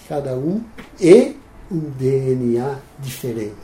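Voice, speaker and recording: A man speaks with a fairly high pitch. Room echo is audible. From Netherlands. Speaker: financial planning pioneer. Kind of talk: interview storytelling. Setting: at his home.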